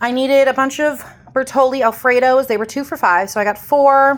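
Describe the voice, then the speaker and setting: A woman talks with a Midwestern US accent at a moderate pace. Her pitch is high. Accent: US Midwest. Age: 40s. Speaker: lifestyle vlogger. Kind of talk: casual haul vlog. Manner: casual, rambling with fillers.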